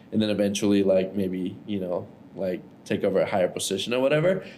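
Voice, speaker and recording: Speaking at a very fast pace, a man with a fairly low pitch and a dark, mellow tone keeps his intonation fairly even while audible room echo surrounds him. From Ecuador. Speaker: entrepreneur. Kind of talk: casual interview. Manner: casual, filler-heavy.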